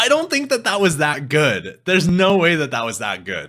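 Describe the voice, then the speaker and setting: A man with a Canadian accent speaks at a moderate pace, his bright, sharp voice showing vocal fry and very wide pitch swings. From Canada. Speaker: music reaction streamer. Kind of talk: casual live stream chat. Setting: live stream.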